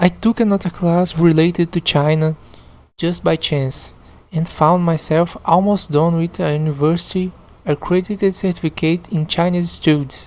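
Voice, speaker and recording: A woman's fairly low voice with a Portuguese accent, in a very clean recording over a silent background. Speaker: podcast host reading online stories. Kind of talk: reading aloud with commentary. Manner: halting, repeats words.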